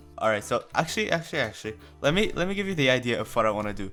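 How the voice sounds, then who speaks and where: A man speaks at a medium pitch while music plays in the background. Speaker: gaming video creator. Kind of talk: casual gameplay commentary. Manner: casual, chatty.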